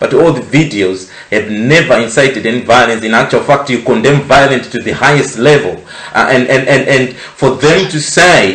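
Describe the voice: A man speaks at a fairly slow pace with lively intonation and a fairly bright tone. There is audible echo in the room.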